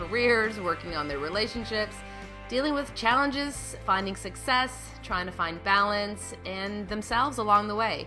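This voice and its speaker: Music plays in the background while a woman speaks at a fairly quick pace. Her pitch is medium and shows ordinary variation. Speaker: podcast host and doctor. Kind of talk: podcast interview.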